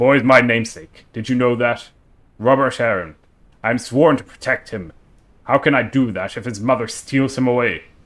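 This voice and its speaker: Putting on a character voice, a man talks at a moderate pace with medium pitch. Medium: virtual streamer. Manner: blunt, gruff.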